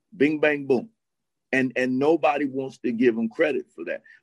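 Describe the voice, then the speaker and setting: Someone with an American accent uses a normal speaking voice with ordinary pitch variation at a moderate pace. The sound is dry and close, with no echo. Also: man. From US South, Miami. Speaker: college basketball assistant coach. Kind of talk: casual chat.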